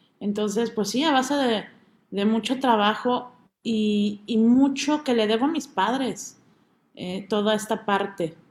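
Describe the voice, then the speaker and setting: A woman speaks at a fairly slow pace in a fairly high, somewhat breathy voice with ordinary pitch variation, on a very clean recording with a silent background. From Mexico City. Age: 30s. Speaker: opera singer. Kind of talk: interview.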